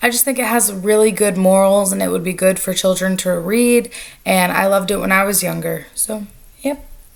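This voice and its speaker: Noticeable background noise sits behind a woman speaking at a moderate pace, in a medium pitch with ordinary pitch variation. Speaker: book reviewer. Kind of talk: casual talk to camera.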